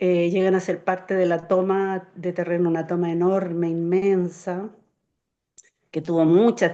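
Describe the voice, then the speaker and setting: A woman with a Chilean accent speaks in a flat monotone, her voice fairly low and her tone dark and mellow. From Chile, Santiago. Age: 60s. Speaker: community organizer. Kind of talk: interview.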